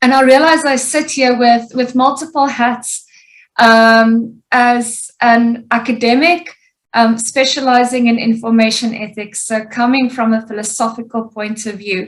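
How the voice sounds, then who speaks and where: A woman's high voice, fairly slow, with fairly even intonation. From South Africa, Pretoria. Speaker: information ethics academic and social activist. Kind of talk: webinar presentation.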